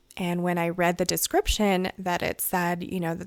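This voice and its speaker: With monotone, flat intonation, a woman speaks at a fairly low pitch. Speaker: podcast host. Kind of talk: casual podcast review. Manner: hesitant, many fillers.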